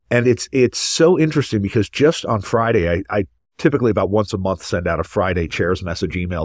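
An ordinary speaking voice from a man, fairly quick with lively intonation, on a very clean recording with a silent background. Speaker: podcast host and pediatric ENT surgeon. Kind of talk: moderated professional discussion.

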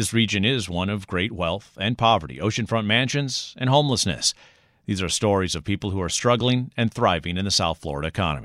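In an unremarkable speaking voice, a man talks at a fairly quick pace with lively intonation and a fairly low pitch, on a very clean recording with a silent background. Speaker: public radio host. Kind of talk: scripted narration. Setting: studio. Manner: formal.

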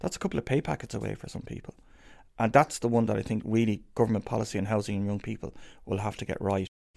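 In a Dublin accent, a man talks at a very fast pace. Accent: Dublin Irish. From Ireland, inner city Dublin. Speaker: professor and research institute director. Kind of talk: interview.

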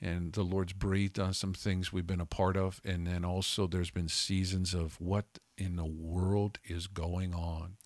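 On a very clean recording with a silent background, a man with a very deep, low pitch speaks at a fairly slow pace with monotone, flat intonation. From Calgary, Canada. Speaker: podcast co-host, ministry leader. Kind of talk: casual chat.

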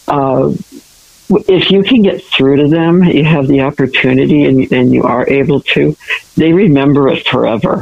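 This woman's pitch is very deep and low, with ordinary variation. Her loudness stays very even. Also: moderate pace. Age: 70s. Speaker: school counselor. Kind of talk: panel discussion. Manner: halting.

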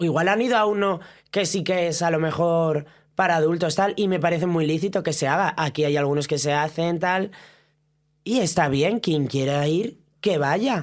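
A woman speaks in an ordinary speaking voice with lively intonation at a moderate pace. Her loudness stays very even on a very clean recording with a silent background. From Asturias, Spain. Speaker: drag performer. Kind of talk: casual chat.

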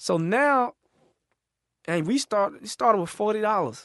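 An animated man with an Atlanta accent and very wide pitch swings, the sound dry and close with no echo over a quiet background. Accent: Southern US, Atlanta. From US South. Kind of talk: casual chat.

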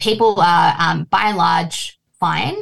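A woman with an Australian accent speaks with vocal fry. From Australia, Fijian Indian family. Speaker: writer. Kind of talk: interview.

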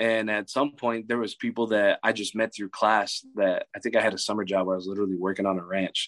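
A plain, everyday voice from a man with an American accent, fairly low in pitch, fairly even in intonation and fairly quick in pace, against a quiet background. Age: 20s. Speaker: college football coach. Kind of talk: casual chat.

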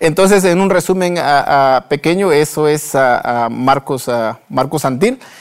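The loudness stays very even as a man speaks at a very slow pace. His pitch varies in an ordinary way. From Guatemala, Huehuetenango. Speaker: entrepreneur and author. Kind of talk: interview. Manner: halting.

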